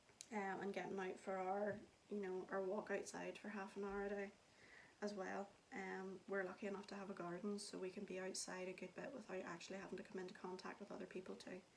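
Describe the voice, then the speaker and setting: Against noticeable background noise, a woman talks at a fairly quick pace, medium in pitch and monotone, flat in intonation. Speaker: vlogger. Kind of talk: casual talk to camera.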